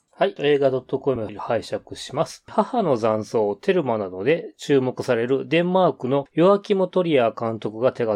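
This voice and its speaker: Fairly high pitch from a man, with a dark, mellow tone, lively intonation and a fairly slow pace, in a dry, close sound with no echo. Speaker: podcast co-host. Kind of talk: casual chat.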